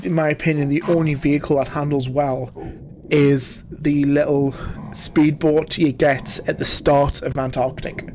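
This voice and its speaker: The speaker has a Geordie accent and a fairly slow pace. Noticeable background noise runs underneath. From northern England, Newcastle area (Geordie). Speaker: gaming streamer. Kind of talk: livestream gameplay commentary. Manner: casual, chatty.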